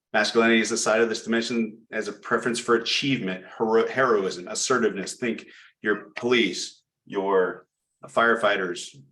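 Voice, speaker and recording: A man's medium-pitched voice, bright and sharp in tone, with monotone, flat intonation and audible room echo. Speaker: project management presenter. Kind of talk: presentation lecture. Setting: chapter meeting. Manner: fast.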